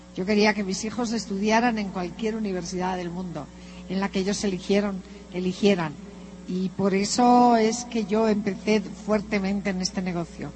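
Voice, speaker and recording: A woman speaks in a normal speaking voice at a medium pitch. Her intonation is fairly even, and her pace is moderate. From northern Spain (Santander). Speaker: motivational speaker, businesswoman. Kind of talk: motivational talk. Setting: stage with audience.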